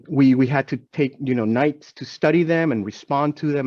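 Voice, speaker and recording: A man speaks with a Spanish accent. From Venezuela. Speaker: healthcare diversity executive. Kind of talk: panel discussion. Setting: webinar video call.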